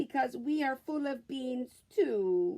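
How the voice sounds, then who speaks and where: Using a put-on character voice, a woman speaks fairly slowly at a high pitch with lively intonation. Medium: read story.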